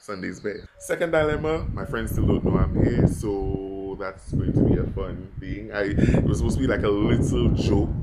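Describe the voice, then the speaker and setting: Loud background noise fills the recording. A man speaks over it at a moderate pace. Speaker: travel vlogger. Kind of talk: casual vlog chat. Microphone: phone near.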